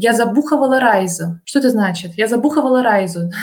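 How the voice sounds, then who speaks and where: Noticeable background noise behind a woman's fairly high voice. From Russia. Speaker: translator and Russian teacher. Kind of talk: casual interview. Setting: remote call.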